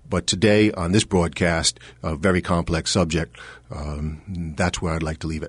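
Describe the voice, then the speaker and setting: A man's very deep, low voice, fairly even in intonation, at a moderate pace against a quiet background. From Providence, Rhode Island. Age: 50s. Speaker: political candidate. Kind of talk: radio interview. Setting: studio. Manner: halting, many fillers.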